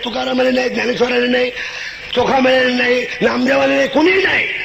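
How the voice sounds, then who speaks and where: Noticeable background noise fills the recording. Through it, a man's voice can be heard. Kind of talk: political rally speech with humorous storytelling. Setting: rally PA system, public stage. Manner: humorous, witty, performing for a crowd.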